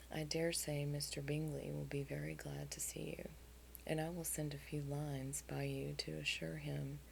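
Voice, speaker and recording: Whispering, a soft-spoken woman talks in a soothing tone. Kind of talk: soft audiobook-style reading with dialogue. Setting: headphone-oriented recording with light tapping and scratching on a book cover. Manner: soft, soothing, whispery.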